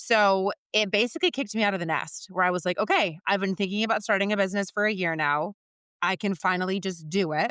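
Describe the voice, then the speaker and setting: Very fast and in an animated, bright, sharp tone, a woman speaks at a medium pitch with ordinary pitch variation and very even loudness, on a very clean recording with a silent background and a dry, close sound with no echo. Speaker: recruiter and business founder. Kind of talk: podcast interview.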